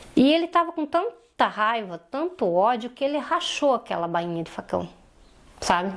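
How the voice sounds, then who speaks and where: A woman speaks at a high pitch and moderate pace, with very wide pitch swings. There is noticeable background noise. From Santa Catarina, southern Brazil. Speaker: polio survivor and domestic violence survivor. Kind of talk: interview testimony.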